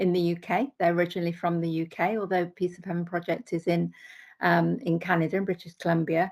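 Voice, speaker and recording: Fairly low pitch carries a woman's voice in an English Midlands accent. The recording is very clean with a silent background. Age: 60s. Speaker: accountant, vegan sanctuary volunteer. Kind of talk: podcast interview. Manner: hesitant, many fillers.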